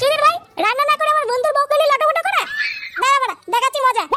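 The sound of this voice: A cartoonish character voice, bright and sharp, very fast, with ordinary pitch variation and faint music in the background.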